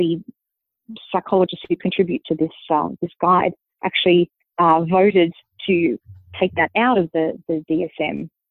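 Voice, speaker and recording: A woman speaks fairly slowly. Her pitch is fairly low, with ordinary variation. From Australia. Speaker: linguist and author. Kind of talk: interview.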